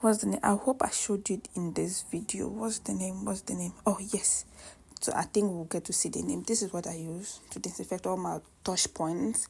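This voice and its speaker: A non-native accent at a moderate pace. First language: not English. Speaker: cooking vlogger. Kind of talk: casual cooking vlog chat. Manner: chatty, halting with self-corrections.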